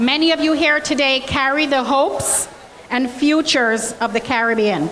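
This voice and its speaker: Through audible room echo and noticeable background noise, a woman with a Jamaican accent speaks at a high pitch with ordinary pitch variation. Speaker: college president. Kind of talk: welcome speech. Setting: stage with audience. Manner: animated.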